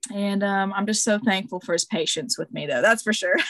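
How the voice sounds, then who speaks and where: A woman's somewhat breathy voice, fairly high in pitch, with ordinary pitch variation. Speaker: indie artist and comic creator. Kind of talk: casual interview conversation. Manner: animated, enthusiastic.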